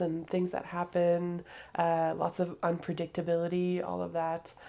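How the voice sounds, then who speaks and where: This woman speaks in a French accent at a fairly low pitch and a moderate pace. Her tone is dark and mellow. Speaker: podcaster. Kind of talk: casual monologue. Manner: hesitant, many fillers.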